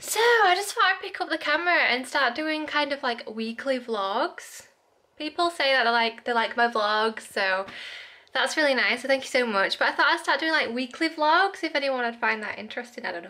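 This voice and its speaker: A woman projects a raised voice with a bright, sharp tone. Her pitch swings very widely at a moderate pace. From Hull, East Yorkshire, UK. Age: 20s. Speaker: vlogger. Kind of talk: casual vlog talk to camera. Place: home room. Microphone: phone near.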